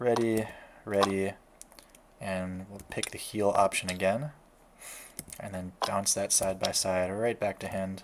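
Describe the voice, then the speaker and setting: A quiet, fairly low-pitched male voice, fairly slow and monotone, with big swings in loudness and long, frequent pauses. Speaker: card game content creator. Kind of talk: gameplay commentary.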